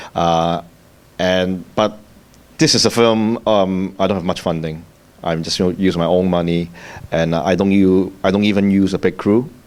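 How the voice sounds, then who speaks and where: A man with a Cantonese accent speaks at a moderate pace in a very deep, low voice with fairly even intonation. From Hong Kong. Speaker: filmmaker. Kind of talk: panel discussion. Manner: halting.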